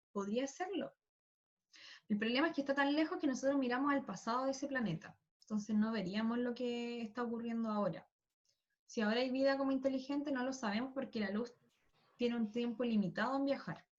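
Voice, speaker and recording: A woman's high voice runs at a fairly quick pace with ordinary pitch variation. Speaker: school physics teacher. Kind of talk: online class lecture. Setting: video call. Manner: fast.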